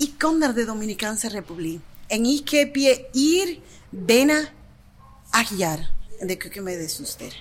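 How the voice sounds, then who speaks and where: Against noticeable background noise, a woman speaks fairly slowly at a fairly high pitch, with very wide pitch swings, big swings in loudness, and long, frequent pauses. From Dominican Republic. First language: Spanish (speaking Dutch). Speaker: kitchen worker. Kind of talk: casual chat.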